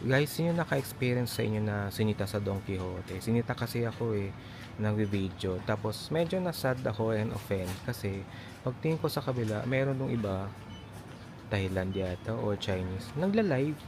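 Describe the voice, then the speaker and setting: This man's voice is somewhat breathy and fairly low in pitch. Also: ordinary pitch variation, fairly quick pace. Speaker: travel vlogger. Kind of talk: casual vlog narration. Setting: outdoors walking back to hotel. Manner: quiet, low voice.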